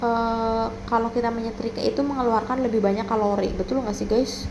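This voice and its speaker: A woman with a fairly high pitch and a relaxed tone speaks at a moderate pace amid noticeable background noise and audible room echo. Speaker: vlogger. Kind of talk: casual vlog narration. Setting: at home. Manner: relaxed, chatty.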